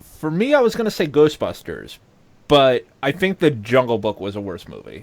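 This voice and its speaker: With an American accent, a man talks at a moderate pace in a fairly high voice, with very wide pitch swings and big swings in loudness. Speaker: podcast co-host. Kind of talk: casual chat. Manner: animated.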